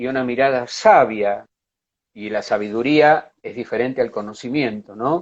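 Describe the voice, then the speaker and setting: With lively intonation and a fairly slow pace, a man speaks in an unremarkable speaking voice. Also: quiet background. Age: 60s. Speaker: psychologist and art therapist. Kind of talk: interview. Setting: online live stream.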